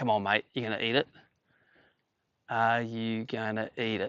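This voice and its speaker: Speaking with an Australian accent, a man at medium pitch talks at a moderate pace in a bright, sharp tone, the sound dry and close with no echo. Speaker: fishing content creator. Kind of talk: live fishing commentary. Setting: on a boat, outdoors.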